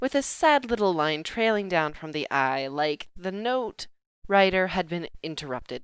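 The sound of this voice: This is an unforced reading voice with lively intonation. The background is quiet.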